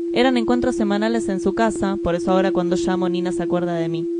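The speech comes at a very fast pace. Audible room echo and noticeable background noise surround it. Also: woman. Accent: Rioplatense. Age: 20s. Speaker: podcast host. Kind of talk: scripted narration.

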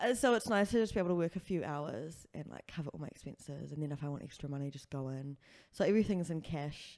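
This speaker talks very fast with a New Zealand accent, lively intonation and big swings in loudness. The recording is very clean, with a silent background. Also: woman, very deep, low pitch for a woman. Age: 20s. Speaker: comedian and sex worker. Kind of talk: casual chat.

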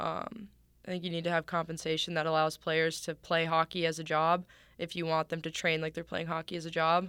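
In a very clean recording with a silent background, a woman with an Upper Midwest accent speaks fairly quickly at a fairly low pitch in a monotone, flat intonation. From Minnesota. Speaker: professional ice hockey player. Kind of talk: interview. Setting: in person.

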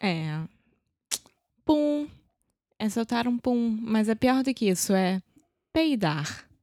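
A woman's fairly high voice in a Brazilian accent, dark and mellow in tone, with very wide pitch swings, very even loudness, a very slow pace and long, frequent pauses. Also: dry, close sound with no echo. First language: Portuguese. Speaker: co-host and English learner. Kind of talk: casual chat.

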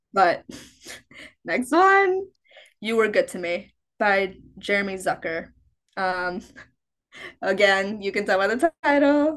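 A woman at a medium pitch in an American accent, very slow pace with long, frequent pauses, lively intonation and a quiet background. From US Midwest, Chicago. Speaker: college student. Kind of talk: casual chat.

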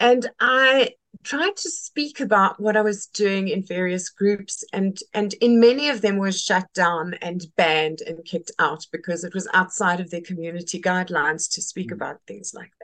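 A woman with a South African accent talks with hardly any pauses and big swings in loudness. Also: medium pitch for a woman, ordinary pitch variation, moderate pace. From South Africa, Western Cape. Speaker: textile community leader. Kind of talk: casual interview. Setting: video call. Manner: animated.

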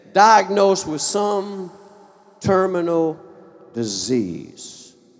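An animated, high-pitched male voice over noticeable background noise. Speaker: pastor. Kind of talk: sermon. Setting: church. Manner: animated, call-and-response preaching; fervent, emphatic.

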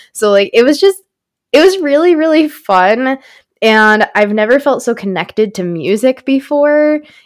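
A woman speaks at a high pitch and a moderate pace. Her pitch swings very widely. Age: 20s. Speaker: podcast co-host. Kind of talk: casual chat. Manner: animated.

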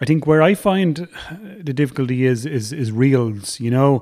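The tone is dark and mellow, with ordinary pitch variation. It comes in an Irish accent. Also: man. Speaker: podcast host. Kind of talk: casual chat.

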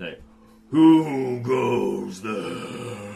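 A man uses a raspy, gravelly put-on character voice at a medium pitch. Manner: menacing, demanding.

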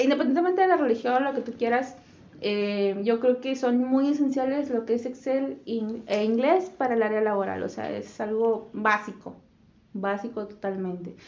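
Speech at a moderate pace with ordinary pitch variation carries audible room echo. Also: woman, fairly high pitch for a woman. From Monterrey, northern Mexico. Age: 20s. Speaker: podcast co-host, administration graduate. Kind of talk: casual chat.

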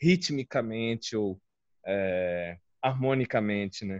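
Quiet surroundings and a male voice, close and dry, without any echo. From Alagoas, northeastern Brazil (born Guarulhos, São Paulo). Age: 20s. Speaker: filmmaker. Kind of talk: casual interview chat. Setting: online live stream.

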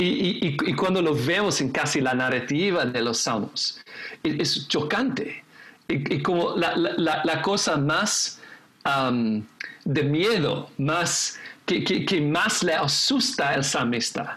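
With an English accent, a man talks at a very slow pace with very wide pitch swings and very even loudness, over noticeable background noise and audible room echo. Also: fairly high pitch for a man. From England, raised in Indonesia and the Philippines. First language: English (speaking Spanish). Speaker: pastor and seminary teacher. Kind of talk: casual chat about scripture. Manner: halting, many fillers and repetitions.

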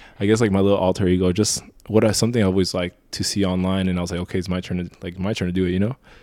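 A man speaks in a very deep, low voice with a dark, mellow tone and flat, monotone intonation, on a very clean recording with a silent background. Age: 20s. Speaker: model and photographer. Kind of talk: casual chat. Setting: studio.

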